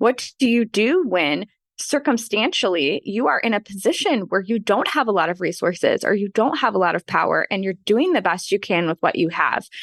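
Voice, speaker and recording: Speaking at a fairly quick pace, a woman uses lively intonation at a medium pitch, recorded against a quiet background with a dry, close sound and no echo. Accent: Midwestern. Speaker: author and podcaster. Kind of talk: casual interview chat.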